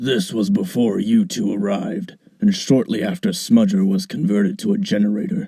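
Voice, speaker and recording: A man performs a put-on character voice at a medium pitch. His pitch swings very widely as he goes at a moderate pace. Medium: audio drama. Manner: stately, scolding.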